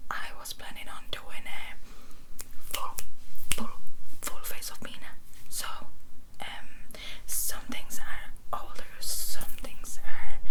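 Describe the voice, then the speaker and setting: A woman whispers at a very slow pace, with long, frequent pauses and big swings in loudness. Noticeable background noise runs underneath. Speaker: ASMR creator. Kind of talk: casual talk to camera, ASMR get-ready-with-me ramble. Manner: whispered, soft-spoken.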